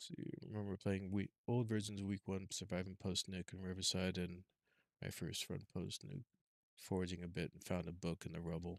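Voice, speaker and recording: A soft-spoken man's very deep, low voice at a moderate pace, with fairly even intonation and a dry, close sound without echo. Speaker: gaming streamer. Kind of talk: live gameplay commentary. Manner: halting. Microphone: too quiet, adjusting mic levels.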